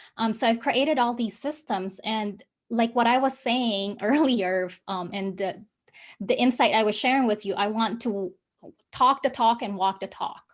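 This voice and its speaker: A woman with a non-native accent speaks at a moderate pace in a very clean recording with a silent background. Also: ordinary pitch variation. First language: not English. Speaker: business coach. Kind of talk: interview. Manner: halting.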